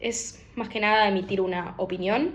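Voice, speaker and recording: A woman speaks in a Rioplatense accent at a medium pitch with ordinary pitch variation. Audible room echo surrounds her voice. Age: 20s. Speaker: lawyer. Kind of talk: political opinion monologue to camera. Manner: hesitant, many fillers.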